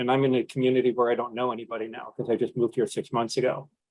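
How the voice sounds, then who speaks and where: A man talks with an American accent at a medium pitch. His pace is fairly quick and his intonation is monotone and flat. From New York. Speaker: panelist living with Parkinson's. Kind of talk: panel discussion.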